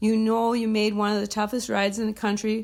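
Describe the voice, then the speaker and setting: A woman with an American accent at a moderate pace. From US Midwest, northern Minnesota. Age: 60s. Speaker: endurance horse rider. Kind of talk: prepared self-introduction monologue.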